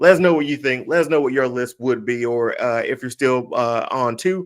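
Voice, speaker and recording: A man with a Mississippi accent speaks with lively intonation. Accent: Mississippi twang. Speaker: podcast host. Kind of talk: casual chat.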